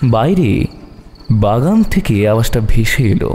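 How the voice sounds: A man speaks at a fairly slow pace with a dark, mellow tone. His pitch makes big swings. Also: medium pitch for a man.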